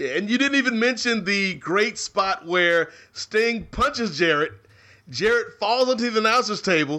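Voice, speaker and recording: With an American accent, a man uses a raised, projected voice that is high in pitch and bright and sharp in tone, holding very even loudness and lively intonation at a moderate pace against a quiet background. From New York. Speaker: wrestling podcast co-host. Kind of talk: casual chat.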